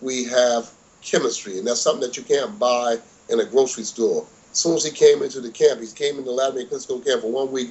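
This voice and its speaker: A man with a normal speaking voice talks at a fairly quick pace, his medium pitch moving with ordinary variation. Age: 60s. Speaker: boxing trainer. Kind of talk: interview.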